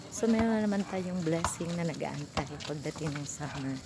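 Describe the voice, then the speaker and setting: A soft-spoken woman with ordinary pitch variation, over noticeable background noise and audible room echo. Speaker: vlogger and tutor. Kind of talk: casual vlog while walking. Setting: outdoors walking in a subdivision.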